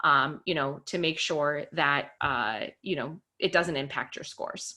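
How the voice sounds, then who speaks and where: Bright and sharp in tone, a woman speaks in an American accent. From Connecticut, New England. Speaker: test prep tutor. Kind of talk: webinar presentation. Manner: fast.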